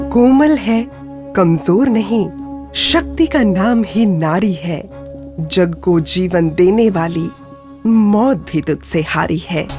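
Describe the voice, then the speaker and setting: Music plays behind a woman's voice. She speaks at medium pitch with lively intonation. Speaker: documentary voice-over narrator. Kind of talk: documentary narration.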